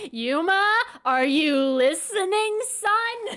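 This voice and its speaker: A woman uses a put-on character voice at an extremely high pitch, talking very slowly. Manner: scolding, stern.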